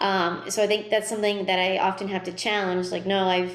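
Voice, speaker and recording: Flat, monotone speech from a woman, with noticeable noise in the background. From New Hampshire. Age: 30s. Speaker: soprano singer and voice teacher. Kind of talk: interview answer. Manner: casual, friendly.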